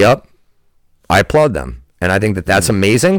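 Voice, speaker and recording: On a very clean recording with a silent background, a man talks at a fairly quick pace in a fairly low pitch with lively intonation. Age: 30s. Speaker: water polo coach. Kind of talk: casual chat. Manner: halting.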